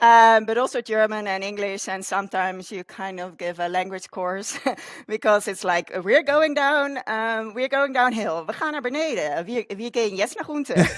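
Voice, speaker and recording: A woman with a Dutch accent, fairly high in pitch, with lively intonation at a moderate pace, on a very clean recording with a silent background. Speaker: communications consultant. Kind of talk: interview conversation.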